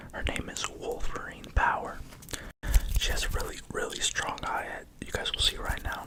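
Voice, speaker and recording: Someone whispers at a moderate pace with long, frequent pauses amid noticeable background noise. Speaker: pigeon fancier. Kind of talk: ASMR whisper video. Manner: whispered; soft-spoken.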